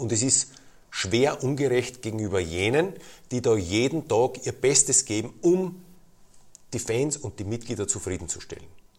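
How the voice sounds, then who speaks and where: A man's medium-pitched, somewhat breathy voice at a moderate pace, with lively intonation. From Lower Austria, near Vienna. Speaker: football club president. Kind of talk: interview.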